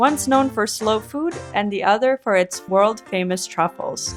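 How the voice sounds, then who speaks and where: Music plays in the background. A woman speaks at a moderate pace with lively intonation. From Turin, Italy. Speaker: travel vlogger. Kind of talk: vlog intro narration.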